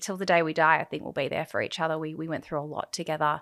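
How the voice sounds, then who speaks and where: A woman speaks in a fairly low voice with an Australian accent and a bright, sharp tone. The recording is very clean, with a silent background. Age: 30s. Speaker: podcast guest in recovery. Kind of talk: interview, personal testimony.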